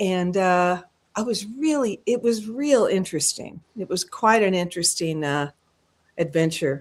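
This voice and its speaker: Here is a woman with an American accent and an ordinary speaking voice. Her pitch is medium and her intonation lively. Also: fairly slow pace. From US Pacific Northwest (rural Washington). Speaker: singer. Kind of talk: casual chat.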